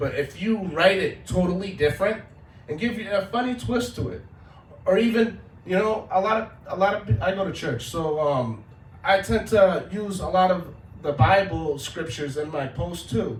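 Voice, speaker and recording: A man talks at a moderate pace in a high pitch with lively intonation. Audible room echo surrounds his voice. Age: 30s. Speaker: social media content creator. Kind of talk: talk to an audience. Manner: casual.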